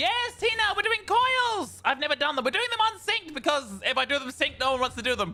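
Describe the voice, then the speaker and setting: Projecting a raised voice in an Australian accent, a man speaks at a fairly quick pace with an extremely high pitch and very wide pitch swings. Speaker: vtuber streamer. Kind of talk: gaming livestream chat. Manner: stammering, repeats words.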